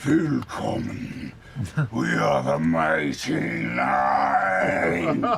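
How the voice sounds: Over clear background noise, a man uses a put-on character voice, raspy and very deep, speaking at a very slow pace.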